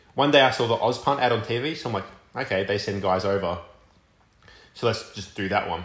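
With an Australian accent and a medium pitch, a man talks at a fairly quick pace broken by long, frequent pauses, using ordinary pitch variation amid audible room echo. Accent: thick Australian. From Australia, Melbourne. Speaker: college football punter. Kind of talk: casual chat.

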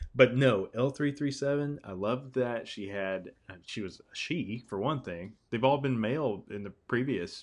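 Over a quiet background, a plain, everyday voice moves at a fairly slow pace, with big swings in loudness and ordinary pitch variation. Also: man, medium pitch for a man. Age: 30s. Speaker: podcast host. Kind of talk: casual chat.

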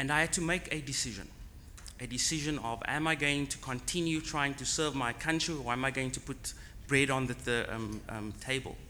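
Audible room echo surrounds a man's fairly high voice. He speaks at a fairly quick pace with fairly even intonation. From South Africa, Cape Town. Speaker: tech startup founder. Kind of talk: conference talk. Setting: conference on location.

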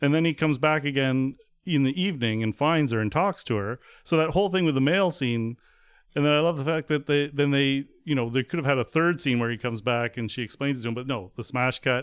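This man's voice is fairly high in pitch. His pace is very fast. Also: ordinary pitch variation. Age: 40s. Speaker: podcast co-host. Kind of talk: casual chat.

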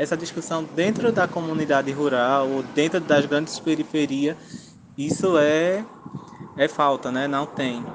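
A man speaks at a fairly slow pace with ordinary pitch variation. Noticeable background noise runs behind him. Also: fairly high pitch for a man. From Pernambuco, Zona da Mata Sul, Brazil. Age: 20s. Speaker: agroecology technician and research intern. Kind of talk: interview. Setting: remote call. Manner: casual, filler-heavy.

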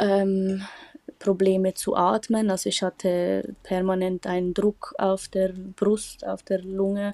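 This woman's tone is dark and mellow, delivered at a very slow pace. Her intonation stays monotone and flat, with a dry, close sound and no echo. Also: medium pitch for a woman. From Switzerland. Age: 20s. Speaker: patient sharing her illness story. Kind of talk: interview testimony. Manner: hesitant, many fillers.

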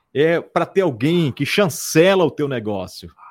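A man speaks with a fairly high pitch, vocal fry and lively intonation. The recording is very clean, with a silent background. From Amazonas interior, Brazil (Barreirinha). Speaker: radio host. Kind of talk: casual interview chat.

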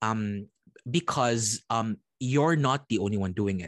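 With a Visayan Filipino accent, a man speaks at a fairly slow pace, medium pitch and ordinary pitch variation. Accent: Filipino (Cebuano) English. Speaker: podcast co-host. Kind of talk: casual chat.

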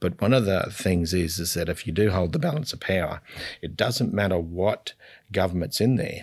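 On a very clean recording with a silent background, a man with an Australian accent speaks at a very deep, low pitch with ordinary pitch variation. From North Queensland, Australia. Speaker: state politician. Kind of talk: interview. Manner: soft-spoken; halting.

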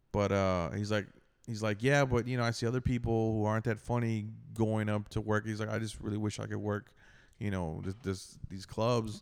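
At a moderate pace, a man talks in a normal speaking voice, fairly low in pitch with fairly even intonation. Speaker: stand-up comedian. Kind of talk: casual chat.

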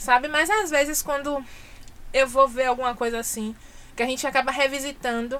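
Her pitch is high, with ordinary pitch variation and a moderate pace. The woman leaves long, frequent pauses. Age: 30s. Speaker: journalist and press officer. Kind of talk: casual chat.

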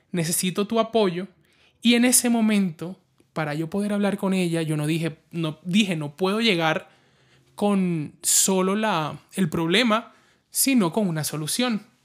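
This man's high pitch shows ordinary pitch variation. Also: fairly slow pace, very clean recording, silent background. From Colombia, La Guajira (Caribbean coast). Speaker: podcast host, advertising professional. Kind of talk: personal storytelling monologue.

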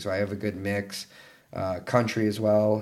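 Here a man speaks with a Texan accent at a moderate pace. His intonation is monotone and flat. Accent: Texan American English. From Texas, San Antonio area. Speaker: professional ice hockey player. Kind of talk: casual interview.

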